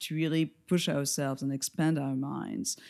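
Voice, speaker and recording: A dark, mellow tone comes with a French accent. The recording is very clean, with a silent background. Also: woman. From France. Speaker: lighting designer and educator. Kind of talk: interview.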